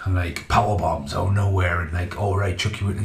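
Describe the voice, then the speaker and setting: There is audible room echo as a man speaks in an animated tone. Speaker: video game reviewer. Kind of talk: angry rant; casual rambling video review. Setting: home video recording. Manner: animated, swearing, exasperated; rambling, halting. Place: home room.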